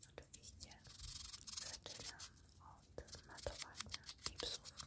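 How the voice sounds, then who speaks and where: A woman whispers. She goes at a very slow pace. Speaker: nail artist. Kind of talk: ASMR tutorial. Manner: whispered.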